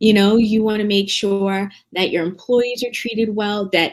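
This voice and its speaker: Here is an ordinary speaking voice, a woman's, at a medium pitch. She talks at a moderate pace with an American accent. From New Jersey. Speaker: business consultant. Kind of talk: conference presentation. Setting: virtual conference.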